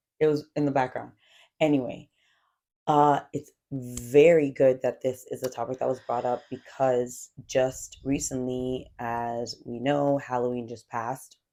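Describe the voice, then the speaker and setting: At a fairly slow pace, a woman speaks in a very deep, low pitch with a dark, mellow tone and monotone, flat intonation. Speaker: podcast co-host and schoolteacher. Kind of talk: casual chat. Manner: loud. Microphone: mic too far from mouth.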